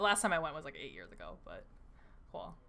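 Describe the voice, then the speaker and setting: A woman with an American accent, fairly low pitch, bright, sharp tone, fairly even intonation and fairly quick pace, with audible room echo. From Wisconsin. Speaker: esports tournament caster. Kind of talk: post-match interview.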